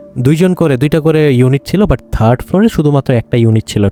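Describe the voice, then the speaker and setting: A man's fairly high voice carries a dark, mellow tone in a dry, close sound with no echo. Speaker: horror story podcast host. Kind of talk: conversational horror story narration. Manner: casual, hesitant with fillers.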